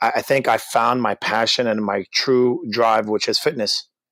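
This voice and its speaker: In a New York accent, a man talks at a moderate pace with medium pitch and a flat, monotone delivery, the sound dry and close with no echo. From Brooklyn, New York. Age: 30s. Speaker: gym owner and personal trainer. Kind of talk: interview.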